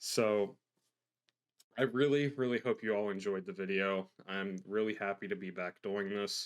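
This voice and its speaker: A man speaks at a fairly low pitch with fairly even intonation. The recording is very clean, with a silent background. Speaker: YouTube paranormal history narrator. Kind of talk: casual closing talk to viewers. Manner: fast; many filler uhs and ums.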